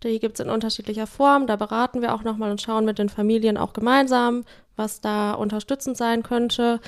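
A woman talks at a fairly quick pace. Her fairly high voice stays monotone and flat. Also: very clean recording, silent background. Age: 30s. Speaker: social work team leader. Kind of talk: casual interview.

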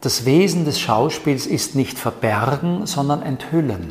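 A male voice, fairly slow, its pitch moving in an ordinary way, with noticeable background noise. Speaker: actor and speech trainer. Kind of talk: interview. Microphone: new microphones, echo in middle part.

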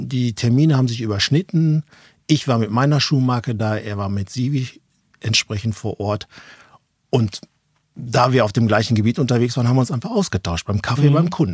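Dry and close with no echo, a somewhat breathy man speaks at a fairly quick pace, leaving long, frequent pauses. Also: medium pitch for a man, ordinary pitch variation. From Ruhr area, Germany (near Dortmund). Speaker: managing director of a safety shoe company. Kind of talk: casual interview. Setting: basement studio with small audience.

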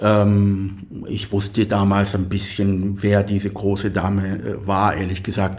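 A man's fairly low, somewhat breathy voice, flat and monotone, at a fairly slow pace with audible room echo. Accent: Arabic. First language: Arabic (speaking German). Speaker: composer. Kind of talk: interview conversation. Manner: halting.

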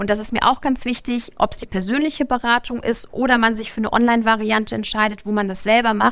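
A woman's fairly high voice at a very fast pace, fairly even in intonation, with hardly any pauses. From northern Germany, Lübeck. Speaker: bank branch manager. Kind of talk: live podcast interview. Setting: stage with live audience.

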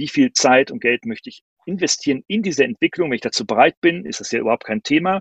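A man with a fairly high pitch talks at a very fast pace with hardly any pauses, his pitch swinging very widely and his loudness greatly, in a dry, close sound with no echo. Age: 50s. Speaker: professor and speaker on digitalization. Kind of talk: online talk and Q&A. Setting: video call with green screen.

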